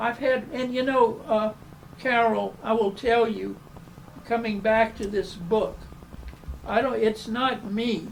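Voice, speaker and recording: Against noticeable background noise, a man with a Southern US accent speaks very slowly in a high voice, leaving long, frequent pauses. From US South. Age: 90s. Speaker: architect. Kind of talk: interview. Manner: halting.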